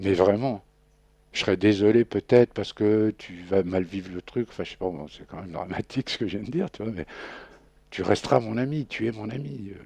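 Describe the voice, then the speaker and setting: Against a quiet background, a man with a fairly low pitch speaks with ordinary pitch variation and big swings in loudness, the sound dry and close with no echo. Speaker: guest recounting imprisonment experience. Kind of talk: radio interview. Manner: casual, hesitant with fillers.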